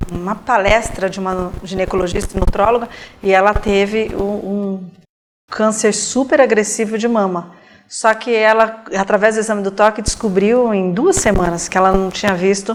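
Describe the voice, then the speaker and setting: Speaking at a moderate pace, this woman has a normal speaking voice of medium pitch and fairly even intonation. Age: 40s. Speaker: interviewer. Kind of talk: interview.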